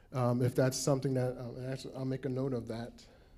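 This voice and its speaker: This man has a dark, mellow tone at medium pitch and speaks at a moderate pace. Audible room echo surrounds his voice. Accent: New Jersey. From New Jersey. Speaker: state program representative. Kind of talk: conference Q&A. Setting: conference room with audience.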